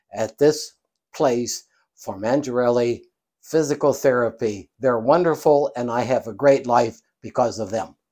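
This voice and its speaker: A man talks at a fairly slow pace in a dark, mellow tone with ordinary pitch variation. The background is quiet. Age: 80s+. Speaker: physical therapy patient. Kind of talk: testimonial interview. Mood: grateful, earnest. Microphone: lapel.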